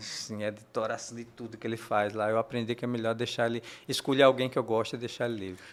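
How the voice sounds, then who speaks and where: At a very fast pace, a man speaks at a medium pitch with monotone, flat intonation. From Paraíba, northeastern Brazil. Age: 60s. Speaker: comic book artist. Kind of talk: interview. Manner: halting, many repetitions and fillers.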